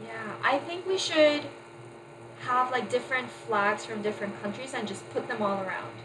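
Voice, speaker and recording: A woman with an American accent speaks at a moderate pace. Audible room echo and noticeable background noise come through. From California. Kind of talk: casual chat.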